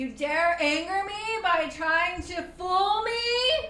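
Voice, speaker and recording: Over clear background noise, a woman in a put-on character voice speaks at a very slow pace in an extremely high pitch. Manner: threatening, commanding.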